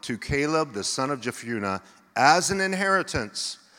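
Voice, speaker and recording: This man's fairly high voice swings very widely in pitch and carries a bright, sharp tone. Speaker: pastor. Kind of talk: sermon. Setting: church.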